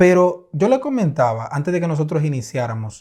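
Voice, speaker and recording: In a very clean recording with a silent background, a man with a fairly high pitch speaks at a moderate pace in an animated tone, his pitch swinging very widely. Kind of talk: faith-based podcast conversation.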